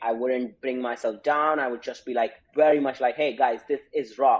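A medium-pitched man's voice with an Indian accent. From India, Uttar Pradesh. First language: Hindi. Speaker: startup founder. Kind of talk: interview.

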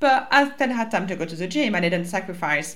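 A woman with a French accent, bright and sharp in tone, at a moderate pace, with very wide pitch swings. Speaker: life coach and podcast host. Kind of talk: solo podcast monologue, personal and casual. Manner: casual, chatty, swears occasionally.

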